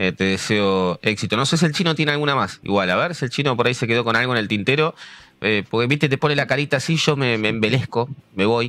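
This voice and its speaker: In a Rioplatense accent, a man speaks at a very fast pace in a bright, sharp tone, medium pitch, lively intonation and very even loudness. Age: 40s. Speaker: podcast host. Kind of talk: interview.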